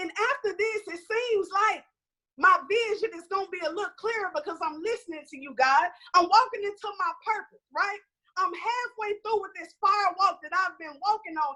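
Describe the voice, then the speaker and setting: A woman's extremely high, raised and projected voice in an animated tone, at a moderate pace with ordinary pitch variation. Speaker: conference panelist. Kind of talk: motivational talk. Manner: loud.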